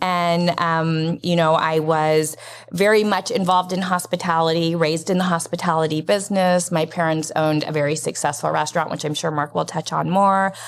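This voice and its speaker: A woman's fairly low, monotone voice with an American accent, fairly quick pace, hardly any pauses and noticeable background noise. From US West, Las Vegas. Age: 50s. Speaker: nonprofit program director. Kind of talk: interview.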